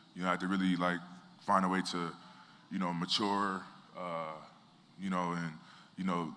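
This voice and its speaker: Audible room echo surrounds a man with an American accent. His very deep, low voice has a bright, sharp tone. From Southern California. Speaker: athlete. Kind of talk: motivational speech. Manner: halting.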